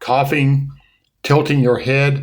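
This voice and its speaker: Amid audible room echo, a man with a somewhat breathy voice speaks at a fairly slow pace. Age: 70s. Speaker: podcast co-host. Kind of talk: casual chat.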